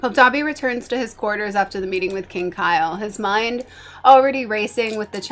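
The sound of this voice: An unforced reading voice with ordinary pitch variation carries the whole clip.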